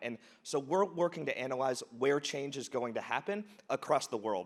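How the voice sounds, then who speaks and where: A plain, everyday voice: a man with an American accent, fairly high pitch, lively intonation and a moderate pace. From United States. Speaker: charity founder. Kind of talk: conference talk.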